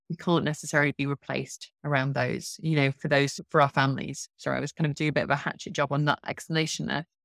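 A woman with a very deep, low voice and vocal fry rattles along very fast with hardly any pauses in a monotone, flat intonation, the sound dry and close with no echo. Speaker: journalist and author. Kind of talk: guest interview with audience Q&A. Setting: video call webinar.

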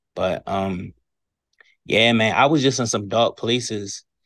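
A man speaks fairly slowly, with quiet surroundings behind him. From Baltimore, Maryland (South Baltimore). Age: 30s. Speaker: recovering addict, recovery house manager. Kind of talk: casual interview, recovery testimony.

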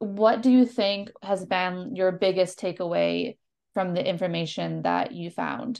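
Against a quiet background, a woman with an American accent and a normal speaking voice talks fairly slowly at a medium pitch with ordinary pitch variation. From Minnesota. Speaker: podcast co-host, university student. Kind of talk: casual chat.

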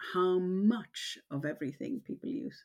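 A woman with a Swedish accent at a moderate pace, on a very clean recording with a silent background. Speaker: cosmetics company founder. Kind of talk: interview.

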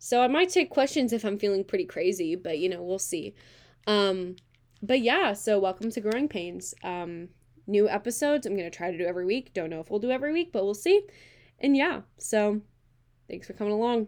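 Lively intonation marks this woman's medium-pitched voice as she talks at a fairly quick pace. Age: young. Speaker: podcast host, college student. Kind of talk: casual monologue. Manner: casual, hesitant with fillers.

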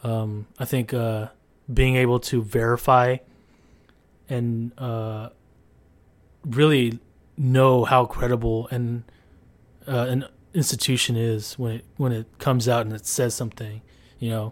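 A man with an American accent, medium pitch, fairly slow pace, monotone, flat intonation and long, frequent pauses. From San Diego, California. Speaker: army veteran and streamer. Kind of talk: solo podcast monologue. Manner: halting, many fillers.

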